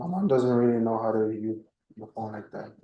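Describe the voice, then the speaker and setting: Quiet and at a moderate pace, a man speaks with a medium pitch and a dark, mellow tone. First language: Spanish. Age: 20s. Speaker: criminal defendant. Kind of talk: court testimony. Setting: courtroom. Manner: halting.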